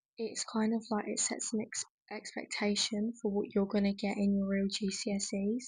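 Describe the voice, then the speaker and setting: In an English accent, a woman speaks at a moderate pace in a fairly high, somewhat breathy voice with monotone, flat intonation. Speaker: content creator. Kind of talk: casual vlog talk. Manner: casual, many fillers.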